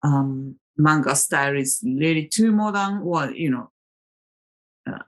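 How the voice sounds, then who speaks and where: Very deep and low in pitch, a woman with a Japanese accent speaks at a fairly slow pace with lively intonation. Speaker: tarot vlogger. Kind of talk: casual monologue. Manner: hesitant, with many fillers.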